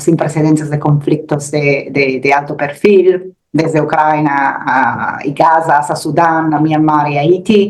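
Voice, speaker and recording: Speaking at a fairly slow pace in an Italian accent, the voice keeps a fairly even intonation over noticeable background noise. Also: woman. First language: Italian (speaking Spanish). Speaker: security research analyst. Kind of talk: expert interview. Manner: halting, with repetitions.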